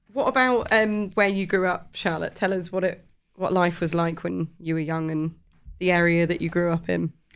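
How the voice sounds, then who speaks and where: On a very clean recording with a silent background, a woman with a normal speaking voice talks at a fairly low pitch with ordinary pitch variation. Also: moderate pace. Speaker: podcast co-host. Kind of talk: casual podcast interview.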